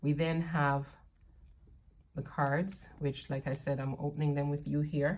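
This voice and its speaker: A woman's very deep, low pitch, somewhat breathy, at a fairly slow pace, with monotone, flat intonation and long, frequent pauses. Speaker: tarot reader. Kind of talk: unboxing video review.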